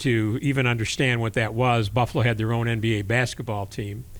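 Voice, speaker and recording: At a moderate pace, a man speaks at a medium pitch in an unremarkable speaking voice. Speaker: podcast host and interviewer. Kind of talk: interview questioning.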